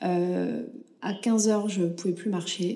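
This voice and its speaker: Dark and mellow in tone, a woman's voice comes across as somewhat breathy. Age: 30s. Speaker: podcast host. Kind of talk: personal testimony. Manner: halting, many fillers.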